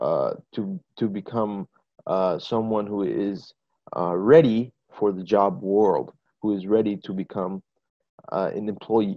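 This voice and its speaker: Here a man speaks with an American accent at a very slow pace. His pitch is fairly low. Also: ordinary pitch variation. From US, New Mexico. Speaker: English teacher. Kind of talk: webinar talk. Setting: video call. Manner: hesitant, many fillers.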